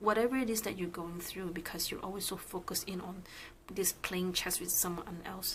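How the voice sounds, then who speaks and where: A woman at medium pitch talking at a fairly quick pace with fairly even intonation, over noticeable background noise. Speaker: tarot reader. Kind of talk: casual tarot reading talk to camera.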